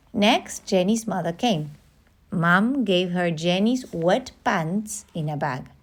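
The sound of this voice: An unforced reading voice moves its pitch up and down in an ordinary way.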